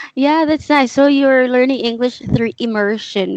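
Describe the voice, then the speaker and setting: A woman speaks in a high pitch at a moderate pace. The sound is dry and close, with no echo. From Philippines. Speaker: English teacher. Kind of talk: casual chat.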